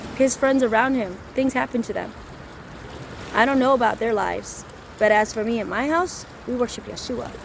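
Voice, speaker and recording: A fairly high-pitched woman with an American accent at a moderate pace, with long, frequent pauses and noticeable background noise. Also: ordinary pitch variation. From US Midwest, Chicago suburbs. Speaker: street preacher. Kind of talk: personal testimony.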